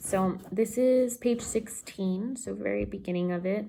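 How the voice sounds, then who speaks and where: A woman's voice comes across as somewhat breathy. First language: Spanish. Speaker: book vlogger and tarot reader. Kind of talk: casual chat. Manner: enthusiastic.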